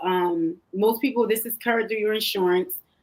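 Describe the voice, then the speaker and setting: Fairly quick and fairly high-pitched, a woman with an American accent speaks in a normal speaking voice. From Philadelphia, US Northeast. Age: 30s. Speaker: pastor's wife and health coach. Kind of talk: talk show interview.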